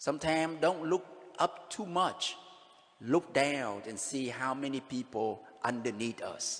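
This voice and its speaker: Speaking with a Vietnamese accent, a man talks at a fairly slow pace in a fairly high pitch with ordinary pitch variation. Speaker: pastor. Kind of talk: sermon.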